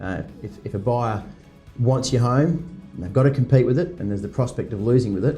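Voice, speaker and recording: Music plays behind a man with a medium-pitched voice. He talks at a fairly quick pace with lively intonation and big swings in loudness. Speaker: real estate auctioneer. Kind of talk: interview answer. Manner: conversational, fluent, with hesitations.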